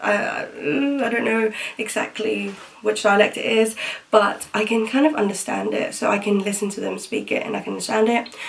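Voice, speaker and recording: A woman with a British accent speaks amid noticeable background noise and audible room echo. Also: moderate pace. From Philippines, Metro Manila until 8, then England. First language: Tagalog. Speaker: vlogger. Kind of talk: casual chat. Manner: casual, many fillers (um, like).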